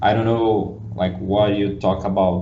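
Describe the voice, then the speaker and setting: At a fairly slow pace, a man with a Brazilian accent speaks in a fairly low, somewhat breathy voice with ordinary pitch variation. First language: Portuguese. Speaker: podcast host. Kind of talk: casual interview.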